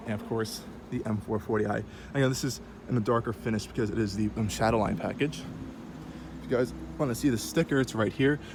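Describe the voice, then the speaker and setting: Talking at a very fast pace yet with long, frequent pauses, a man with a medium pitch and ordinary pitch variation is heard over noticeable background noise. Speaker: car reviewer. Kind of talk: casual walkaround car review. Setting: at a car dealership. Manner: casual with many fillers.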